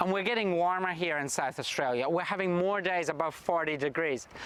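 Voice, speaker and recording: Noticeable background noise runs under this recording of a man. He speaks at a moderate pace with a high pitch. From Scotland. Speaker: state government minister. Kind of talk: recorded video address.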